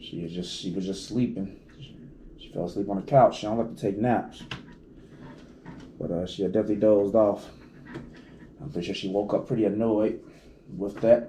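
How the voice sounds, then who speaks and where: Pitched fairly low, a man talks at a fairly quick pace in a dark, mellow tone with fairly even intonation. Long, frequent pauses and big swings in loudness stand out, and there is audible room echo. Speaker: video blogger. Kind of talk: casual chat. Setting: at home.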